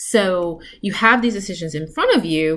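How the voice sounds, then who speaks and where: A woman's medium-pitched voice comes across as a plain, everyday voice. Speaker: tarot reader for entrepreneurs. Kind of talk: tarot reading monologue. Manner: casual, filler-heavy.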